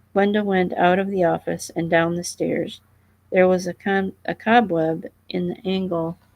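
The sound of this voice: The clip uses an unforced reading voice with fairly even intonation.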